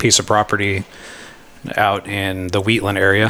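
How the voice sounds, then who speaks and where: A man with an American accent speaks at a fairly low pitch. Noticeable background noise runs behind him. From Yuba City, Northern California. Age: 30s. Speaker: hunting guide. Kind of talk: casual chat.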